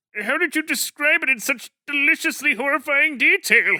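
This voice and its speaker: Putting on a cartoonish character voice, a man talks at a moderate pace in an extremely high pitch. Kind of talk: cartoon fan dub. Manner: dramatic, theatrical.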